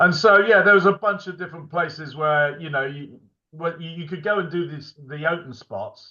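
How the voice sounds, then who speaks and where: At a moderate pace, a man with a high pitch and a bright, sharp tone shows ordinary pitch variation and big swings in loudness. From army childhood abroad, then England. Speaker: comedian and director. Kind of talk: interview. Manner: halting, many fillers.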